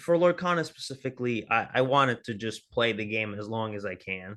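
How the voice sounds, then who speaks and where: Loud and bright with a sharp tone, a man with an American accent talks at a moderate pace over a quiet background. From US South, New Orleans. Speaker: card game streamer. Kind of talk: podcast interview.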